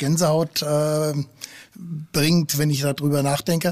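Fairly even in intonation, a man's somewhat breathy voice sits at a fairly high pitch. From Frankfurt am Main. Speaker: football fan. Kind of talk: casual chat. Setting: at home on a finca.

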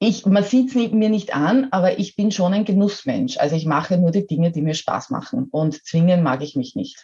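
A woman with a medium pitch talks at a moderate pace, her voice making very wide pitch swings. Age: 50s. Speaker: model and coach. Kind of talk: interview.

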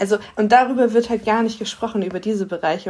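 Keeping her intonation fairly even, a woman at a medium pitch talks in an ordinary speaking voice. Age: 30s. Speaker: podcast co-host. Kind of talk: interview.

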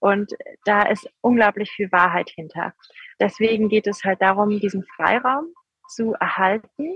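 This is a woman with an ordinary speaking voice at medium pitch. She talks at a fairly slow pace with ordinary pitch variation. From Rhineland, Germany. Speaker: politician, member of parliament. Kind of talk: interview. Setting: remote call from outdoor protest site.

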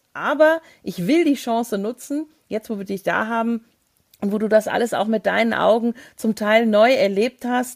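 A woman with a normal speaking voice and fairly high pitch speaks at a moderate pace with ordinary pitch variation, the sound dry and close with no echo. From Hesse, Germany. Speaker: travel podcast co-host. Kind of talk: casual interview.

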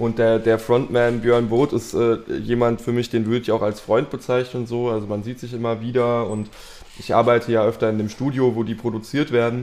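The speaker is male. His pitch is medium, delivered in a monotone, flat intonation. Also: moderate pace. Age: 20s. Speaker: bassist and music manager. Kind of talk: casual chat. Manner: hesitant, many filler sounds.

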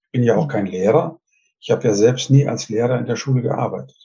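A man's medium-pitched voice, dark and mellow, with vocal fry and ordinary pitch variation. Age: 70s. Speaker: retired communication trainer and author. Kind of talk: interview. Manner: hesitant, many filler sounds.

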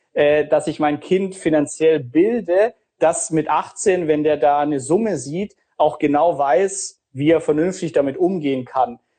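The tone is dark and mellow, with ordinary pitch variation. The pace is fairly slow. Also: man. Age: 30s. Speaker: finance podcaster and author. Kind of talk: casual Q&A interview. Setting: Instagram live video session.

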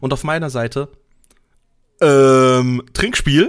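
This man's fairly high voice keeps a fairly even intonation. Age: 30s. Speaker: podcast co-host, IT support worker. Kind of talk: casual chat. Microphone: new microphone, RØDE NT-USB.

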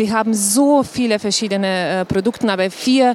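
A woman speaks at a fairly high pitch with fairly even intonation. Noticeable background noise runs behind her. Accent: Slovenian. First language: Slovenian (speaking German). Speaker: tourism board director. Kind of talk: live panel talk. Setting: trade fair stage with audience. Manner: halting, many fillers.

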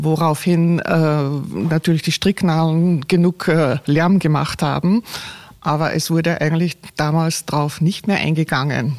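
A woman's very deep, low voice at a fairly slow pace, with fairly even intonation and very even loudness. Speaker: retired physicist. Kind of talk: interview. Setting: lecture hall. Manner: halting.

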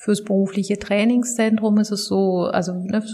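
A woman talks at a medium pitch. Her pace is fairly slow and her intonation fairly even. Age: 30s. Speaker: social work manager. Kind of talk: interview. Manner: hesitant, many fillers.

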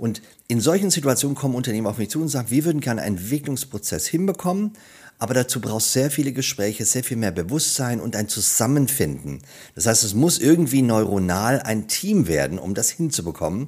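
Talking at a fairly quick pace, a man's voice shows vocal fry and very wide pitch swings. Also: medium pitch for a man. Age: 50s. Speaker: storytelling coach. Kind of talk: interview.

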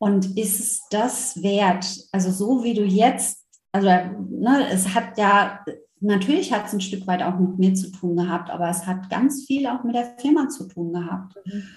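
In a room with audible echo, a woman speaks at a fairly slow pace, her somewhat breathy voice showing ordinary pitch variation. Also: medium pitch for a woman. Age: 40s. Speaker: former corporate manager who went through burnout. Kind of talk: interview.

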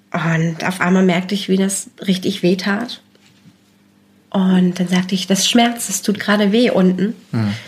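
At a fairly slow pace, a woman talks in a somewhat breathy voice with fairly even intonation. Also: medium pitch for a woman. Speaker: mother sharing experience of postnatal depression. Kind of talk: personal testimony in interview.

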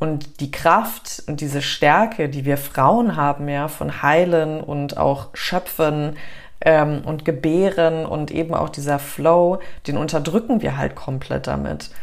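Calm in tone, a woman speaks at a very slow pace with a very deep, low pitch, vocal fry, and ordinary pitch variation. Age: 30s. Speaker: breathwork instructor. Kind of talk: casual interview chat; guided breathing exercise.

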